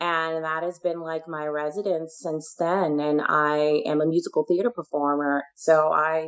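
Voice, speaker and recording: A woman's very deep, low voice with an American accent, flat and monotone, at a fairly slow pace with hardly any pauses. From Ohio, US Midwest. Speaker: author and musical theater performer. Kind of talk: radio interview.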